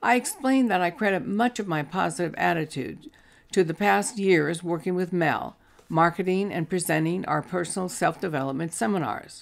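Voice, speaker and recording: With vocal fry and a fairly low pitch, a woman talks at a moderate pace with lively intonation. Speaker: terminal ALS patient. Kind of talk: prepared personal testimony.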